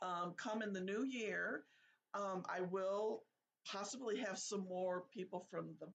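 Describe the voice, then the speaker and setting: This woman has an ordinary speaking voice, pitched in the medium range, and she talks at a fairly slow pace. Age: 60s. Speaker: podcast host. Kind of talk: casual podcast monologue, reading list aloud. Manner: chatty, conversational with self-corrections.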